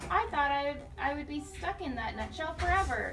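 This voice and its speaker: A woman puts on a character voice pitched high, at a moderate pace. Clear background noise can be heard. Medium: read story. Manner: chirpy, chuckling.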